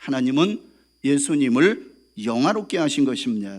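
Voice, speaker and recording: A man with an ordinary speaking voice and fairly high pitch speaks at a fairly slow pace in a very clean recording with a silent background. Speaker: pastor. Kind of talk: sermon. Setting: church.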